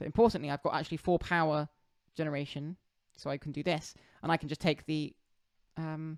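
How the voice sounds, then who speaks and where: A woman's very deep, low voice with long, frequent pauses, in a very clean recording with a silent background and a dry, close sound with no echo. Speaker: board game streamer. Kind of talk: gameplay commentary. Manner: halting.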